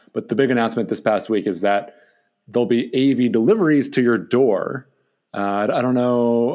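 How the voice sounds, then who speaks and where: Fairly quick speech from a man of medium pitch, with ordinary pitch variation and a quiet background. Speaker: co-host, media and marketing VP. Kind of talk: casual podcast banter. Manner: upbeat, enthusiastic.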